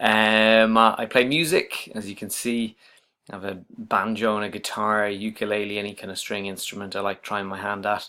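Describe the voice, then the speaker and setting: A man's fairly low voice has a bright, sharp tone and flat, monotone intonation, with big swings in loudness. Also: moderate pace. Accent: slight Irish. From Ireland, Dublin. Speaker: university writing lecturer. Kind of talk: self-introduction video. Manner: hesitant, many fillers.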